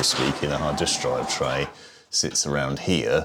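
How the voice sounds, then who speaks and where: A man speaks over noticeable background noise. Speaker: PC building reviewer. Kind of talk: tech tutorial talk to camera.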